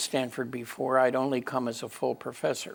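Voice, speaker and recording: Vocal fry marks a man's medium-pitched voice. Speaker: computer scientist, AI pioneer. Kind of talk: interview answer, recalling his career. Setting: interview room.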